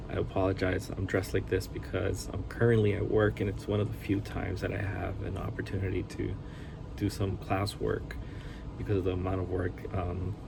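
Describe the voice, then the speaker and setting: Speaking at a fairly quick pace with a Spanish accent, a man's very deep, low voice comes through with audible room echo and noticeable background noise. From Hawaii (Honolulu area), raised by Costa Rican family. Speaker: anesthesiologist assistant and seminary student. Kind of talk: self-introduction video. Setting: at workplace. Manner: casual, with hesitations.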